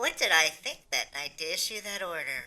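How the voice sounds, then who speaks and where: Using a cartoonish character voice, a woman speaks at a moderate pace. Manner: haughty.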